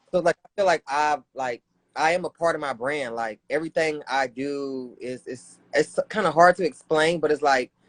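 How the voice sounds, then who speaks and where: Delivered in a Southern US accent at a moderate pace, the voice has ordinary pitch variation and a dry, close sound with no echo. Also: man, fairly high pitch for a man. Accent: Southern country. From US South, North Carolina (Raleigh). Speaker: streetwear designer. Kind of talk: casual chat.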